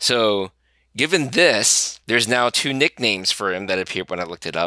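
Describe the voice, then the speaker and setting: The voice has a bright, sharp tone and lively intonation. The sound is dry and close with no echo, in a very clean recording against a silent background. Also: man. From Taiwan. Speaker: video game product manager. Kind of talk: casual chat.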